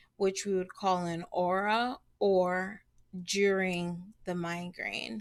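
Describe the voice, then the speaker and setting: In a very clean recording with a silent background, a woman speaks very slowly at a medium pitch. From Belize, raised in Chicago. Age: 30s. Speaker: health vlogger. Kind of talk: personal testimony vlog. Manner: hesitant, many fillers.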